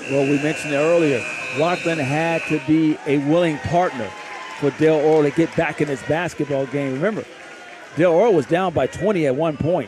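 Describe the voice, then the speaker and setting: Crowd noise fills the background as a man talks at a fairly quick pace. His fairly high pitch shows ordinary pitch variation. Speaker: basketball color commentator, former coach. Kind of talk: live sports broadcast color commentary.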